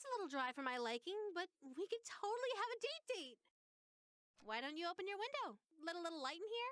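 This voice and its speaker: This is a put-on character voice with very wide pitch swings. It moves at a fairly quick pace. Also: female-sounding voice, extremely high pitch for a woman. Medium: video game. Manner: sweet, theatrical, affectionate.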